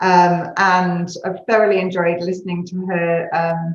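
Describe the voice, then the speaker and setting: With a British accent, a woman speaks at a fairly low pitch. Audible room echo surrounds her voice. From UK. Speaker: consulting executive. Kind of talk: panel discussion.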